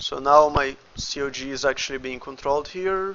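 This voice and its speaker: This man has a fairly high pitch and ordinary pitch variation, talking at a fairly slow pace with noticeable background noise around him. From Brazil. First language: Portuguese. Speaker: indie game developer and 3D artist. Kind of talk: livestream tutorial. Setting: livestream at the computer. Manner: casual, thinking aloud; halting, with stutters.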